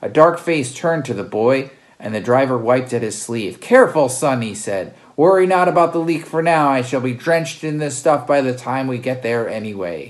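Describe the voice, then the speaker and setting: With a theatrical tone and lively intonation, a man speaks at a moderate pace in a medium pitch. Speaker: podcast host reading his own fiction. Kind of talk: dramatic narration of a sci-fi story, with a casual chatty intro and outro. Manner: theatrical, adopting archaic voices for characters ('thou', 'tis') and sighing; casual and rambling in the intro, with a hesitant, thinking-aloud pace.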